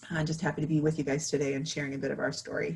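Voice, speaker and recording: This woman's voice is very deep and low in pitch, somewhat breathy, with fairly even intonation. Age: 30s. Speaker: patient panelist. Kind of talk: panel talk.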